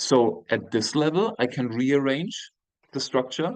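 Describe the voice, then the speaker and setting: Speaking fairly slowly with a German accent, a man uses ordinary pitch variation. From Germany, moved early to Austria. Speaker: university professor. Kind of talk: lecture. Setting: video call. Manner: halting.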